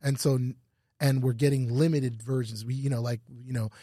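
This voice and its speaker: A man's dark, mellow, somewhat breathy voice at a medium pitch, with fairly even intonation and a fairly quick pace, on a very clean recording with a silent background. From Canada (Ottawa). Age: 40s. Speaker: fashion store owner. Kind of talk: casual interview chat.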